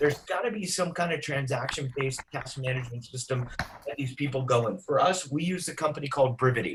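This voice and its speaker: This man's voice is fairly high in pitch. He is a man. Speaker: real estate agent and trainer. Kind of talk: training session. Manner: fast.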